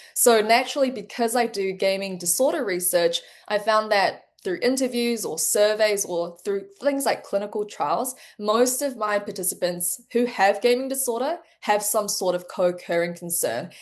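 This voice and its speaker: With a New Zealand accent, a woman speaks in a fairly high pitch. Her pace is moderate and her pitch variation ordinary. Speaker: medical researcher. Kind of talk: interview.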